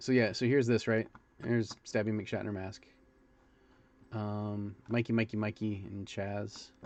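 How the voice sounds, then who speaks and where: Pausing long and often, a man with a fairly low pitch speaks in a monotone, flat intonation. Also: fairly slow pace. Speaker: sculptor and livestreamer. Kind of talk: casual livestream commentary. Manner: hesitant, many fillers; loud.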